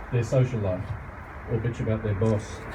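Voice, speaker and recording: A man with an Australian accent, medium pitch and monotone, flat intonation, amid noticeable background noise and audible room echo. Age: 60s. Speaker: garden centre owner. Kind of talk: speech at an industry event.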